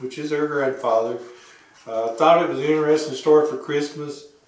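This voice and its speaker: A fairly high-pitched male voice with fairly even intonation over noticeable background noise. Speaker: woodworker. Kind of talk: casual talk to camera.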